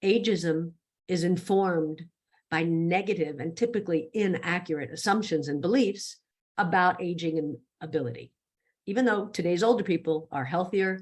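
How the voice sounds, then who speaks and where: A woman talks in an ordinary speaking voice at a moderate pace. Her pitch is fairly low, with ordinary pitch variation. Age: 60s. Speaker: speaker on ageism. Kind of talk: presentation talk. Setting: virtual summit.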